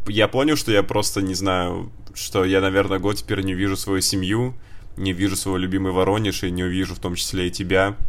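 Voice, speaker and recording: Very deep, low-pitched male voice at a fairly quick pace, with ordinary pitch variation and audible room echo. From Russia, Voronezh. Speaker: podcast co-host. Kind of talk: casual chat.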